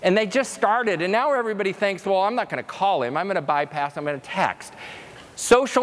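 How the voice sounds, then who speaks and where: Against noticeable background noise, a man speaks at a fairly quick pace in an animated tone with lively intonation. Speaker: conference speaker. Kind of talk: keynote presentation. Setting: stage with audience. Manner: fast.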